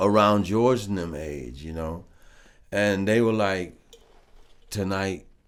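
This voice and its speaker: With an American accent and a fairly low pitch, a man speaks at a very slow pace with long, frequent pauses, ordinary pitch variation and big swings in loudness, and audible room echo surrounds him. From Flint, Michigan, US. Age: 60s. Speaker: funk bassist and vocalist. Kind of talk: casual interview chat. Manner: laid-back, many filler phrases.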